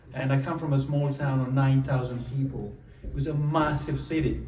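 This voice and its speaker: Fairly high-pitched man's voice with fairly even intonation at a moderate pace, plus audible room echo. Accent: Italian. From southern Italy, Puglia. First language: Italian. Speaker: coach. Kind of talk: motivational talk. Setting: stage with audience.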